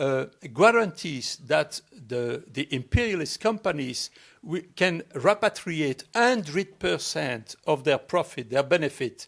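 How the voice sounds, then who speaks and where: With a French accent and lively intonation, a man talks very slowly on a very clean recording with a silent background. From Belgium. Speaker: ecosocialist speaker. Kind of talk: public talk Q&A. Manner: halting.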